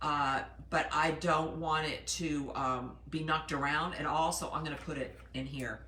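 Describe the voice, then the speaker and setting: A woman with a very deep, low pitch talks at a fairly slow pace amid audible room echo. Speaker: yarn shop owner. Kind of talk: live product demonstration. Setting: in a shop.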